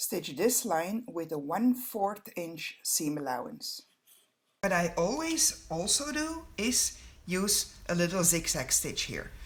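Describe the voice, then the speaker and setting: Very slow speech with a Flemish accent. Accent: Belgian Dutch (Flemish) accent in English. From Belgium (Flanders). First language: Dutch. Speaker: sewing pattern designer. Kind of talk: tutorial. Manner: halting.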